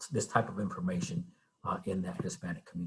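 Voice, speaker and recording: The voice is somewhat breathy and makes very wide pitch swings. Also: man. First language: Spanish. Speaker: TV news reporter. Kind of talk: guest talk to a class. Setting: video call.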